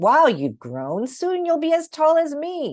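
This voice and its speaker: A woman puts on a character voice, pitched high and moving at a fairly slow pace. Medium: read story. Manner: warm, jovial.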